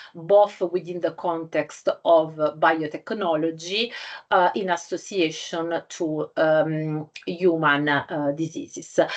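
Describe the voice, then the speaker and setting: With an Italian accent, a woman speaks at a very slow pace and fairly low pitch. Her intonation is fairly even, and the background is quiet. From Italy. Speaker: scientific journal editor. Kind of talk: lecture. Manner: halting, many fillers.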